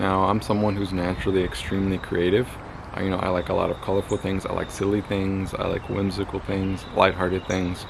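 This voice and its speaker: Noticeable background noise sits behind a man with a very deep, low pitch. He talks at a fairly quick pace in a monotone, flat intonation. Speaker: magick and spirituality YouTuber. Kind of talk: solo video talk, advice.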